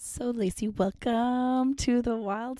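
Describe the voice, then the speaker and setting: A woman speaks at a very slow pace in a high pitch. The sound is dry and close, with no echo. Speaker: podcast host. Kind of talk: casual chat. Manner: less energetic than usual.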